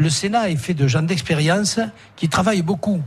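This man's voice is somewhat breathy. He speaks at a moderate pace, his intonation lively. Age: 60s. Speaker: senator. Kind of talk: radio interview. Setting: restaurant, live broadcast.

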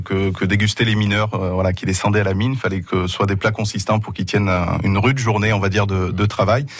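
A man talks very fast in a fairly low, monotone, flat voice, hardly pausing. Noticeable background noise runs under him. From Asturias, northern Spain. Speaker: restaurateur. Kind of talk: radio interview.

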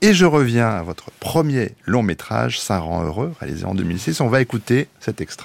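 Hardly pausing at all, a man speaks at a moderate pace with vocal fry and very wide pitch swings. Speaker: radio host. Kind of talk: radio interview.

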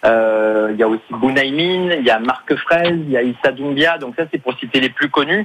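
Amid noticeable background noise, a man talks at a medium pitch and a moderate pace, with ordinary pitch variation and hardly any pauses. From Marseille, southern France. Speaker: comedian. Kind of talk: radio interview. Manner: halting.

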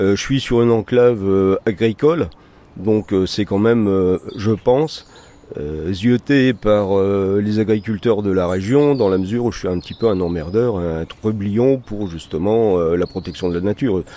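A man with a fairly low voice talks fairly slowly, his pitch varying in an ordinary way. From northern France, Valenciennes area. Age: 60s. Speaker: nature guide and bird protection volunteer. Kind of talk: interview. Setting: at his home garden. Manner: halting.

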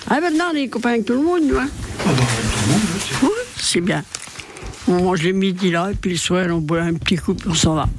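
A woman speaks at a moderate pace in a medium pitch, with very wide pitch swings and very even loudness, leaving long, frequent pauses. Noticeable background noise and audible room echo fill the recording. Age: 90s. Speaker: charity volunteer. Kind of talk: interview. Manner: hesitant, colloquial.

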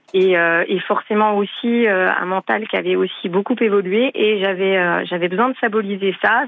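Here is a woman with an unremarkable speaking voice at a medium pitch. She keeps a moderate pace and fairly even intonation. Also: very even loudness. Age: 40s. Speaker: caller. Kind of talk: phone-in testimony.

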